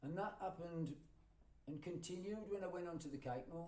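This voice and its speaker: A man speaks with lively intonation and a dark, mellow tone. The room echo is audible. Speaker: folk singer and storyteller. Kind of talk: storytelling talk to live audience. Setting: library with audience. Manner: conversational, hesitant fillers.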